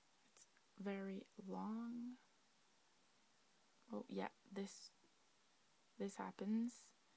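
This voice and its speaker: Speaking at a very slow pace with long, frequent pauses, a woman sounds somewhat breathy, with a dark, mellow tone and monotone, flat intonation. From Québec. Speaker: laptop owner asking for help. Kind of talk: casual talk to camera. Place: home room. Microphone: phone near.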